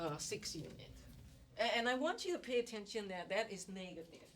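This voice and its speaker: Audible room echo surrounds a woman who speaks at a moderate pace and a medium pitch. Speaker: economics professor. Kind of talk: lecture.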